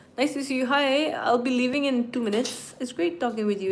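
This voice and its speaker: A woman at a fairly quick pace with ordinary pitch variation, audible room echo and noticeable background noise. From Nagaland, northeast India. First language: Nagamese. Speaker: streamer. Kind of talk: casual live stream chat. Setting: live stream at home.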